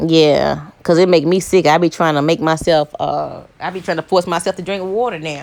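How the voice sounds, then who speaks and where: A woman talks with fairly even intonation and hardly any pauses. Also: fairly low pitch for a woman. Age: 40s. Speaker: YouTuber. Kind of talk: casual vlog monologue. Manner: fast.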